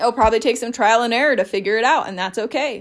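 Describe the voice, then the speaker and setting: On a very clean recording with a silent background, a woman talks at a very fast pace in a fairly high voice with ordinary pitch variation. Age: 30s. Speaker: mindset coach and podcast host. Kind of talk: solo podcast monologue.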